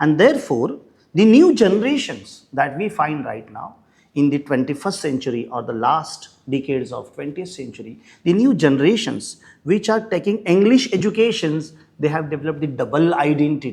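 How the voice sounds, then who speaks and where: A man's fairly high voice at a moderate pace with very wide pitch swings. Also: big swings in loudness. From India, Maharashtra. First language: Marathi. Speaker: English professor. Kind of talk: lecture.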